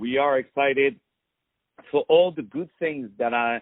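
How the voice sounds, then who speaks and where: A man with a fairly high pitch and a non-native accent speaks with lively intonation. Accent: foreign. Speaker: radio interviewer. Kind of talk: interview.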